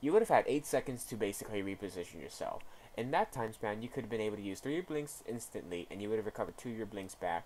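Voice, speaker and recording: A man's medium-pitched voice at a very fast pace, with lively intonation. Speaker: gaming coach reviewing gameplay. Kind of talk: video game replay review. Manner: rambling, hesitant.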